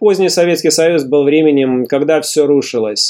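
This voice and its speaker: A man with fairly high pitch and a dark, mellow tone talks at a fairly quick pace with ordinary pitch variation. The recording is very clean, with a silent background. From Belarus, Mogilev. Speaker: podcast host and writer. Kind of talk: scripted narration.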